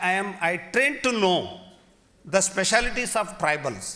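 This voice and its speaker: A man with a Kannada accent uses a raised, projected voice. His pitch is high, with ordinary variation. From Karnataka, India. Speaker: university vice chancellor. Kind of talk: formal speech at literary festival.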